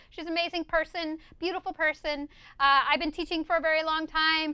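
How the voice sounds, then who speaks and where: A woman with an American accent speaks in a raised, projected voice at an extremely high pitch, bright and sharp in tone, at a fairly quick pace with ordinary pitch variation, recorded dry and close with no echo. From USA. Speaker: DJ and scratch teacher. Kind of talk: live-stream tutorial reading chat. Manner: animated, enthusiastic.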